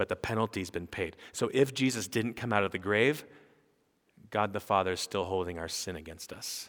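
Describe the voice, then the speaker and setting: This man has a plain, everyday voice, fairly low in pitch with ordinary pitch variation at a moderate pace. The recording is very clean, with a silent background. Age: 40s. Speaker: pastor. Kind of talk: sermon.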